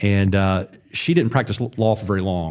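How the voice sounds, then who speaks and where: In an Alabama accent, a man speaks with a very deep, low pitch and fairly even intonation. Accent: Alabama Southern US. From Alabama, US South (Wiregrass, Birmingham area). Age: 40s. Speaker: former state supreme court justice, political candidate. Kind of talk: podcast interview.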